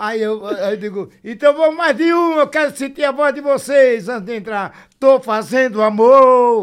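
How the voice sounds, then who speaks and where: A man with an extremely high pitch speaks at a fairly slow pace with ordinary pitch variation and hardly any pauses. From Sergipe, Aracaju. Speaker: brega singer and songwriter. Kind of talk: casual chat. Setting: studio.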